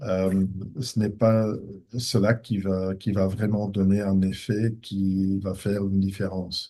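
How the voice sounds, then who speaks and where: Very slow and monotone, a man talks with flat intonation and very even loudness. His fairly low voice has a dark, mellow tone. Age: 60s. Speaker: professor of ophthalmology, retina specialist. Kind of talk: conference Q&A. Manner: hesitant, with many fillers.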